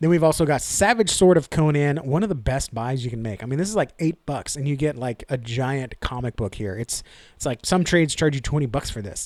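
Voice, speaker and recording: With a Texan accent, a man talks at a fairly quick pace with hardly any pauses, a fairly high pitch, an animated tone and lively intonation, on a very clean recording with a silent background. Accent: Texan American English. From Texas. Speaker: comic book YouTuber. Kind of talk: casual haul video monologue. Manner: fast.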